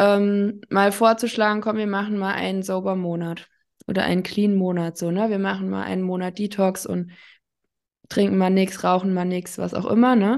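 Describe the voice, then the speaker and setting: A woman speaks in a medium pitch with monotone, flat intonation. Her pace is moderate and the background is quiet. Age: 30s. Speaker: addiction counselor. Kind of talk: casual interview.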